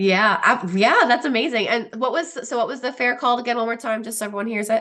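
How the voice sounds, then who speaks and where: A woman's very fast, animated delivery in a Pennsylvania accent, fairly high in pitch, with ordinary pitch variation. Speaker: program host. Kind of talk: live Q&A chat. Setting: live video chat.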